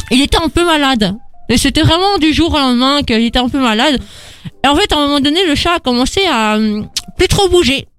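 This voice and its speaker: A high-pitched woman at a fairly quick pace, with lively intonation and very even loudness. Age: 20s. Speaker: radio host. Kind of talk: casual chat. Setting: studio.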